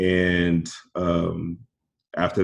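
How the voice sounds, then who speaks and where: The speaker is a man with an American accent. His pitch is very deep and low. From Houston, Texas. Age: 20s. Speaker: real estate investor. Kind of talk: interview.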